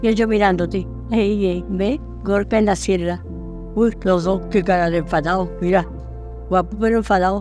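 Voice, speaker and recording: Music plays behind a woman talking at a moderate pace. Her loudness stays very even, and she leaves long, frequent pauses. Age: 80s+. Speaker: grandmother. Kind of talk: interview answer.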